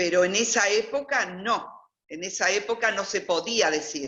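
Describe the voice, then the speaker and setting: A woman's plain, everyday voice, medium in pitch, with lively intonation at a fairly slow pace. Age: 60s. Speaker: interviewee, former convent student. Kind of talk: personal testimony. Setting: video call.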